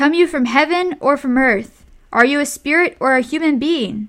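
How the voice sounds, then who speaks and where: A woman speaks in a high, put-on character voice. She keeps a moderate pace. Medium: read story. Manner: solemn, formal.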